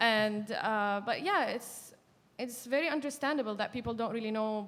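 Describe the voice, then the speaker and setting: Here a woman speaks with an Arabic accent. Her pitch is fairly high and her pace moderate. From Syria, coastal Jableh. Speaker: activist and journalist. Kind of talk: panel discussion. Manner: halting, with many fillers.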